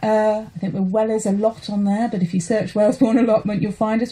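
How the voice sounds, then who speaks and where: Somewhat breathy, a woman's voice has a dark, mellow tone at a fairly high pitch, with fairly even intonation. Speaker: allotment holder, campaigner. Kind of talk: radio interview. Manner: emotional, passionate.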